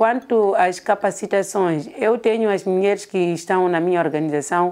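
A dark, mellow tone carries speech at a fairly slow pace with ordinary pitch variation. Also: woman. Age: 50s. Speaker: women's association coordinator. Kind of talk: interview.

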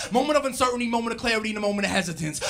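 Over faint background music, a raised, projected voice carries ordinary pitch variation. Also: man. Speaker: rapper and spoken word poet. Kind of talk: spoken word poetry performance. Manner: rhythmic, rhyming delivery. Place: stage. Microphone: handheld.

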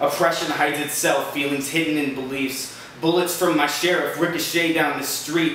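In a room with audible echo and light background noise, a man speaks at a fairly high pitch in a monotone, flat intonation. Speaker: slam poet. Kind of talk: spoken-word poetry performance, rhymed and rapid-fire. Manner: urgent, defiant, rallying.

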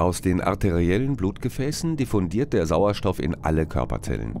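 A man's very deep, low voice with vocal fry and very wide pitch swings, at a moderate pace. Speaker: narrator of school biology film. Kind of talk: educational film narration. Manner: formal, measured, didactic; clear, even, explanatory pace.

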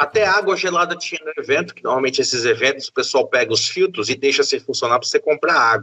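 Talking very fast with hardly any pauses, a man swings widely in loudness. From interior of Bahia, Brazil. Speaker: publisher and game event organizer. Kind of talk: casual chat.

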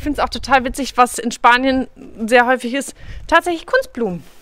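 Her voice raised and projected, a woman speaks at a high pitch in a bright, sharp tone, the sound dry with no echo. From western Germany, Münsterland (Kreis Borken, NRW); North Rhine-Westphalia, Germany. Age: 30s. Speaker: travel vlogger on a long-distance hike; travel vlogger. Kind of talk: casual travel vlog talk to camera. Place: open country. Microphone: phone near.

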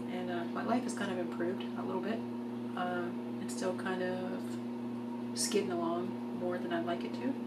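Loud background noise sits under a woman who speaks fairly quickly but leaves long, frequent pauses. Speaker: video blogger. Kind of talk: video diary monologue. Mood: wry, reflective, self-deprecating. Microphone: phone near.

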